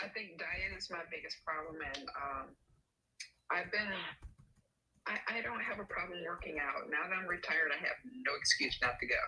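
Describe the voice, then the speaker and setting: Her voice is fairly low, and this woman speaks at a moderate pace with ordinary pitch variation. She leaves long, frequent pauses. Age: 60s. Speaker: caller. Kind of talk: casual chat.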